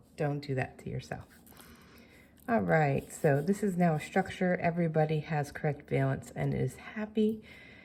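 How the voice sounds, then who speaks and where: A woman speaks at a moderate pace in a very deep, low pitch with a dark, mellow tone. Her voice is somewhat breathy, with lively intonation. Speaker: chemistry teacher. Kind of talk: tutorial.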